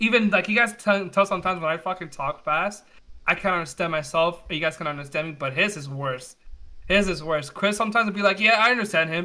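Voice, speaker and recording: At a very fast pace, a man speaks with a high pitch, a bright, sharp tone and ordinary pitch variation. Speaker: podcast co-host. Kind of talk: casual chat. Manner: fast-talking; stumbles over words when talking fast.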